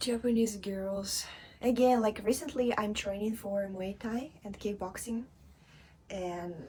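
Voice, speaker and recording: A woman's somewhat breathy, dark, mellow voice at medium pitch, with ordinary pitch variation and a fairly slow pace. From Russia, Eastern Siberia (Angarsk). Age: 20s. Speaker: model and former tech worker. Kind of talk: interview.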